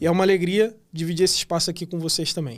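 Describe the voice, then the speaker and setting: A man's high-pitched voice at a fairly quick pace, on a very clean recording with a silent background. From Rio de Janeiro, Brazil. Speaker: podcast host. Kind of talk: podcast interview. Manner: casual, friendly.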